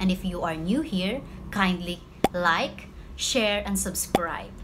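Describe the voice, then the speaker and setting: A woman talks fairly slowly while noticeable background noise carries on. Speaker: teacher. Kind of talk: channel intro and lesson talk.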